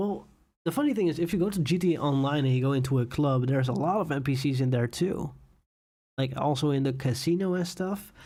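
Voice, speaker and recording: A man with a fairly high pitch speaks at a very fast pace, his dark, mellow tone held at very even loudness. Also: ordinary pitch variation. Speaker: YouTube gaming streamer. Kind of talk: live stream chat.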